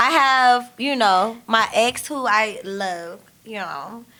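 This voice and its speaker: Her voice is fairly high for a woman, bright and sharp in tone, with ordinary pitch variation. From US South. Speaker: podcast co-host. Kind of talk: casual chat. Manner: animated.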